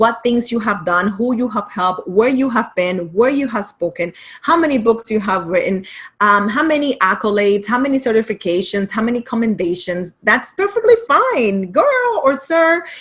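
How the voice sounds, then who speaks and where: Someone with a Caribbean accent speaks at a moderate pace with an animated tone and lively intonation. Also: woman, fairly high pitch for a woman. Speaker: writing and business coach. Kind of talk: online masterclass presentation.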